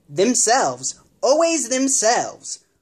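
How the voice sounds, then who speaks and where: A put-on character voice with a high pitch moves along at a fairly slow pace. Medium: read story.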